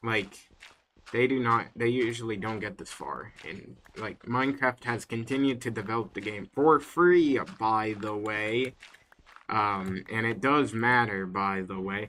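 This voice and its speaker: A man talks fairly slowly at a medium pitch, with ordinary pitch variation and an unremarkable speaking voice. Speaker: gaming streamer. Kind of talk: casual livestream chat. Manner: casual, filler-heavy.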